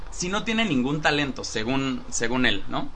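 With a Mexican accent and lively intonation, a man talks at a fairly slow pace amid audible room echo. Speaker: podcast host. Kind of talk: casual chat. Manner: animated.

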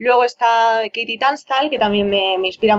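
A woman speaks in a plain, everyday voice at a fairly high pitch. Her pace is moderate and her intonation fairly even. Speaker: singer-songwriter. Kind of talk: interview.

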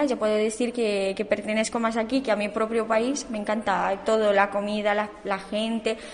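Against noticeable background noise, a woman with a fairly high pitch talks at a fairly quick pace in a monotone, flat intonation. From Romania. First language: Romanian (speaking Spanish). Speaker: immigrant student. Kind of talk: radio interview.

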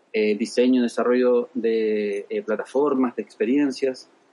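Fairly even intonation and a dark, mellow tone from a man at a moderate pace. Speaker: UX designer and design teacher. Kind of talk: interview.

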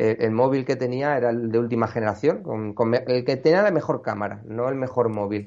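Here a man talks at a fairly quick pace. His voice sits at a medium pitch with ordinary pitch variation. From Extremadura, Cáceres province (rural), raised partly in Madrid. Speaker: amateur landscape photographer. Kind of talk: casual interview. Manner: halting, frequent repetitions.

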